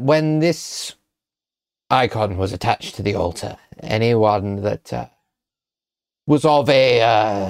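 Using a put-on character voice, a man speaks at a very slow pace in a very clean recording with a silent background. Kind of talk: scholarly exposition. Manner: lofty, condescending, lecturing.

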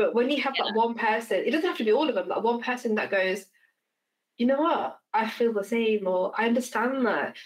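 A fairly quick British accent from a woman, fairly high in pitch, with very even loudness and ordinary pitch variation. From England. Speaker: podcast host. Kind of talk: casual chat.

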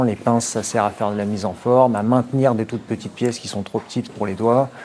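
A man's fairly quick, monotone, flat delivery at medium pitch, over noticeable background noise. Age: 30s. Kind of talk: workplace explanation interview.

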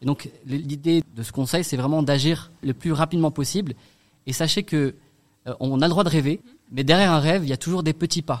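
In a normal speaking voice, a man talks fairly quickly. His pitch sits fairly high and varies in an ordinary way. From Strasbourg, Alsace, France. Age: 30s. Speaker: association founder. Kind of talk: radio interview.

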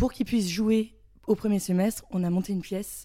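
A woman speaks at a moderate pace in a dark, mellow tone with fairly even intonation. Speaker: student actor, theatre club member. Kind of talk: casual interview.

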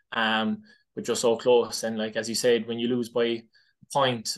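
A man's medium-pitched voice in a Cork accent against a quiet background. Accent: Cork Irish. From Ireland, West Cork. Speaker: inter-county hurler. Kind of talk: casual interview. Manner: hesitant, many fillers.

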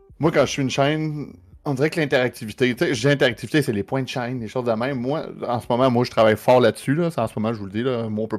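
Speaking at a very fast pace with hardly any pauses, a man holds a medium pitch and ordinary pitch variation. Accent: Quebec. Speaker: streamer. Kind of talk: casual chat.

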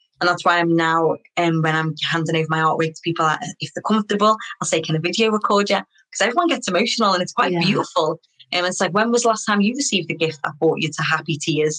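This woman talks very fast with a Liverpool accent. Her pitch sits fairly low and varies in an ordinary way. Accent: Scouse (Liverpool). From Liverpool, England. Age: 30s. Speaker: artist. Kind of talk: interview.

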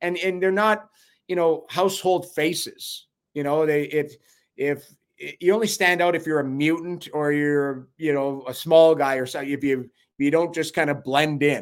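A man's normal speaking voice with a Canadian accent, fairly high in pitch and fairly even in intonation, at a moderate pace on a very clean recording with a silent background. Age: 50s. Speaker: former NHL goalie and hockey analyst. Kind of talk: casual chat.

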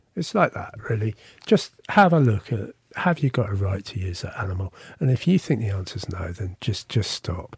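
Lively in intonation, a man with a fairly low, somewhat breathy voice talks at a moderate pace in a dry, close recording with no echo. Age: 50s. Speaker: vegan festival founder. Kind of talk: interview. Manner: halting, repeats words.

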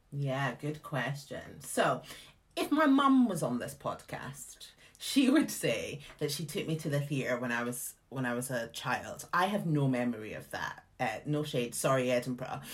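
At a fairly slow pace, a woman speaks with a Scottish accent. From Scotland. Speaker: theatre artistic director. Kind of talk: casual interview chat. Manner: animated, chatty.

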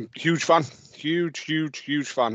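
A man is speaking. His pitch is fairly high. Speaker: football podcast host. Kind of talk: casual banter chat.

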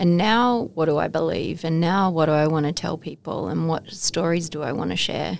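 An Australian accent at a moderate pace, with ordinary pitch variation. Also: woman, fairly low pitch for a woman. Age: 40s. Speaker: motivational speaker and charity founder. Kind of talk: interview testimony. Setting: studio.

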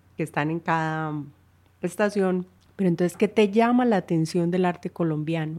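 On a very clean recording with a silent background, a woman with a plain, everyday voice speaks at a fairly low pitch and with fairly even intonation. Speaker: podcast host. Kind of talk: interview conversation.

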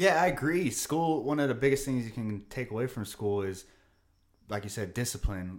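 With a plain, everyday voice at a medium pitch, a man talks at a fairly quick pace with lively intonation. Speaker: podcast host and teacher. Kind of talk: casual chat. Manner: laid-back.

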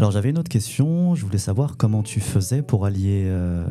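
A man with a fairly low-pitched voice talks while music plays behind him. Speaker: podcast host. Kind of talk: interview introduction.

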